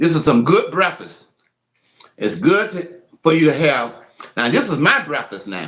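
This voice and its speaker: Vocal fry colors speech at a moderate pace with very wide pitch swings. Long, frequent pauses break it up. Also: man, fairly high pitch for a man. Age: 70s. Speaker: livestreamer. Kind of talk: casual livestream demo. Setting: home kitchen. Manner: repetitive, conversational.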